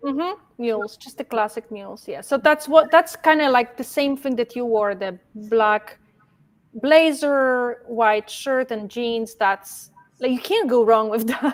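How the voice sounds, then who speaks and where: A woman talks at a fairly slow pace, her pitch high. She has a strong non-native accent. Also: ordinary pitch variation, big swings in loudness. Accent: strong foreign. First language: not English. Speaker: fashion stylist. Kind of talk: casual interview chat. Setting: livestream video call. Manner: can sound stern, halting.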